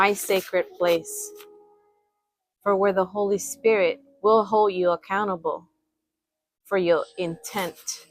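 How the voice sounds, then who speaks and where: Music plays in the background as a woman talks at a very slow pace with long, frequent pauses. Her medium-pitched voice keeps fairly even intonation. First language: not English. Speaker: spiritual reader, channel owner. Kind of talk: spiritual reading / vlog address. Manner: halting, self-correcting; assertive.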